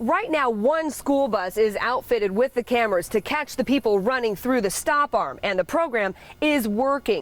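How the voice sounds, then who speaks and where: With a high pitch, an upbeat tone and lively intonation, a woman speaks at a moderate pace with hardly any pauses and very even loudness while music plays in the background. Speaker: TV news reporter and anchor. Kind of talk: TV news reporting. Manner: live shot, upbeat.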